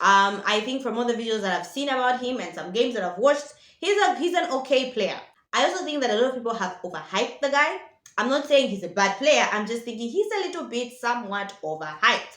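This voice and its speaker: A woman's high, animated voice at a very fast pace, with very wide pitch swings, audible room echo and noticeable background noise. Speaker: football vlogger. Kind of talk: casual vlog commentary.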